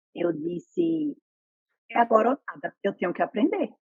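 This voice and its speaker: A woman speaks at a moderate pace with a fairly high pitch and lively intonation. The sound is dry and close, without echo. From Brazil, Pernambuco interior (Northeast). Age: 30s. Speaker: nurse. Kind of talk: interview. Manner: animated.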